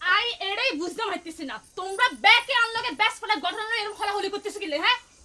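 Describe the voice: Putting on a character voice, a woman talks fast in a bright, sharp tone, her pitch extremely high with ordinary variation.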